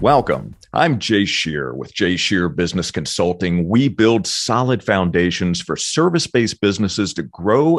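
A man's very deep, low voice with vocal fry, an energetic tone, very wide pitch swings and a fairly slow pace. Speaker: podcast host and business consultant. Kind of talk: interview conversation.

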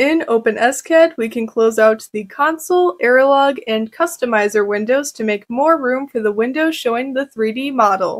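Against a quiet background, a woman talks in a high voice at a moderate pace with hardly any pauses. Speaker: presenter. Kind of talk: tutorial.

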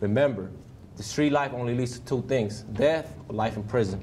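At a moderate pace, a man speaks with ordinary pitch variation against light background noise. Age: 20s. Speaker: prison inmate. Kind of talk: testimony. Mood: earnest, subdued, regretful. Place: classroom.

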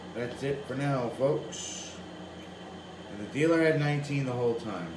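A man talks fairly slowly while noticeable noise sits behind him. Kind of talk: casual tutorial commentary. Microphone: phone near.

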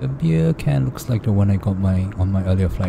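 Very deep, low pitch from a man, with noticeable background noise. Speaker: travel vlogger. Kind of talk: casual vlog commentary. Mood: cheerful, amused. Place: plane.

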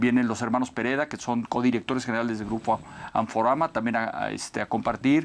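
Speaking very fast, a man keeps his intonation fairly even. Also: medium pitch for a man. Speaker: business event organizer. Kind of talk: interview. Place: studio. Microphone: lapel.

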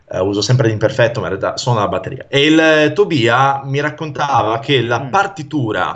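Against a quiet background, a man speaks at a moderate pace, somewhat breathy, with ordinary pitch variation. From northern Italy, Pavia area (Lombardy); Lombardy. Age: 30s. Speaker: mnemonist and stage performer; interview guest. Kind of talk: casual interview chat. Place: home room. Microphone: video call.

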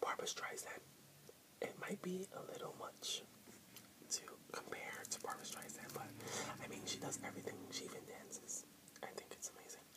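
A man whispers at a moderate pace. His speech has long, frequent pauses. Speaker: vlogger. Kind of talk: casual vlog chat. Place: home room. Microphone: webcam.

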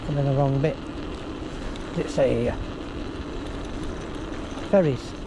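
Speech moves at a slow pace with ordinary pitch variation, and background noise is clearly heard. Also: man, medium pitch for a man.

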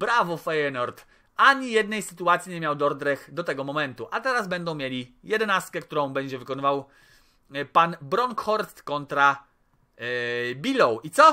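A man speaks at a high pitch with a bright, sharp, animated tone and very wide pitch swings. His pace is moderate over a quiet background. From Poland. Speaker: gaming YouTuber. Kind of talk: gameplay commentary. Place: home room.

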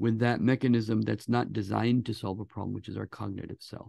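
A man speaks with vocal fry and fairly even intonation, in a dry sound with no echo against a quiet background. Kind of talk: interview conversation. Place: office. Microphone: video call.

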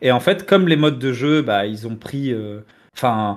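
The voice has lively intonation over a quiet background. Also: man. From Tunisian heritage, France. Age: 30s. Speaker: video game commentator. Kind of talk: casual debate. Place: home room. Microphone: headset.

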